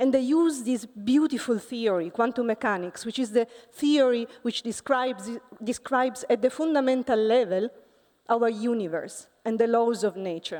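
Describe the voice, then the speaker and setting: A woman speaks at a moderate pace with an Italian accent. Her voice is fairly high, with a dark, mellow tone and ordinary pitch variation. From Italy. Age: 40s. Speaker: physics professor. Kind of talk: conference talk. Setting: stage with audience.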